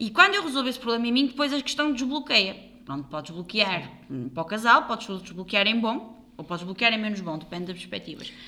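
With a European Portuguese accent, a woman speaks at a fairly quick pace with hardly any pauses, her fairly high voice making very wide pitch swings. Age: 30s. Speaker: podcast co-host, health professional. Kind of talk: casual chat.

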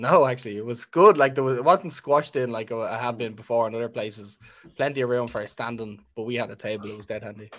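The man's loudness swings a lot. He speaks very fast. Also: medium pitch for a man, ordinary pitch variation. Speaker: podcast guest. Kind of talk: casual chat.

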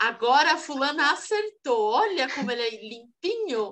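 A woman's voice with very wide pitch swings. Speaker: podcast co-host. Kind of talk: casual chat.

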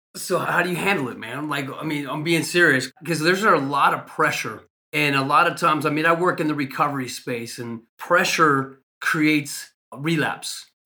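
Using an ordinary speaking voice, a man keeps a moderate pace, his fairly high pitch moving with fairly even intonation. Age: 50s. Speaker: recovery podcast host. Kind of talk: interview.

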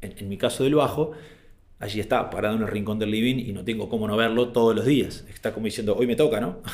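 At a very fast pace, a man with a medium pitch talks in fairly even intonation, with audible room echo. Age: 40s. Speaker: speaker on management and habits. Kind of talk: talk / presentation. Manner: hesitant, frequent fillers.

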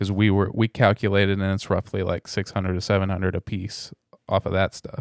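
A man with an American accent speaks at a fairly quick pace in a fairly low pitch and monotone, flat intonation, on a very clean recording with a silent background and a dry, close sound with no echo. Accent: Southern US, thick around family. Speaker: reseller podcaster. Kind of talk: casual chat.

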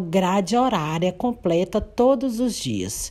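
Fairly slow delivery in a dark, mellow tone with lively intonation. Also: woman. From Brazil, Minas Gerais (Paracatu). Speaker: educator. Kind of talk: educational presentation, partly read.

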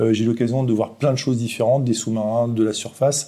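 A man talks at a very fast pace with a dark, mellow tone. His pitch is medium and his intonation fairly even. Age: 40s. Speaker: brewery founder, former navy sailor. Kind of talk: interview. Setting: at the brewery premises. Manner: hesitant, many fillers.

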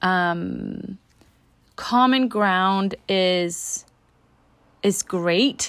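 With a Danish accent, a woman speaks at a medium pitch with ordinary pitch variation. The recording is very clean, with a silent background. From Denmark. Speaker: relationship coach podcaster. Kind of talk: solo podcast monologue. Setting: home recording with leaf blower outside. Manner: hesitant with fillers.

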